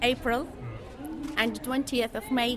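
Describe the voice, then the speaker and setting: Audible room echo and noticeable background noise surround a woman speaking fairly slowly at a high pitch. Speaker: English teacher. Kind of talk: interview. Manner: halting.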